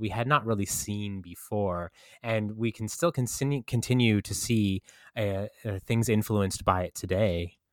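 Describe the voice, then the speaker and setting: This man has a plain, everyday voice, fairly low in pitch with ordinary pitch variation, delivered at a fairly slow pace on a very clean recording with a silent background. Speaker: guest discussing film.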